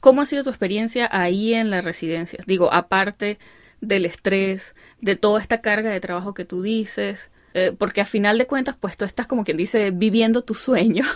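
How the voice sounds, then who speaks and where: An Andean Venezuelan accent at a moderate pace with ordinary pitch variation, in a very clean recording with a silent background. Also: woman, medium pitch for a woman. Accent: Andean Venezuelan (gocho). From Venezuelan Andes. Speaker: podcast host and doctor. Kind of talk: interview.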